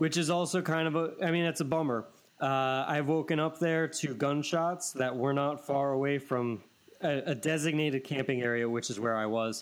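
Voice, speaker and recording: In an ordinary speaking voice, a man talks at a moderate pace with fairly high pitch, ordinary pitch variation and very even loudness. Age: 30s. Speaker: podcast host. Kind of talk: casual chat.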